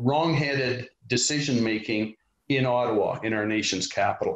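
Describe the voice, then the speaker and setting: With a Western Canadian accent, a man speaks fairly slowly at a medium pitch and with fairly even intonation. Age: 60s. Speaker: party leader, politician. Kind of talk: interview.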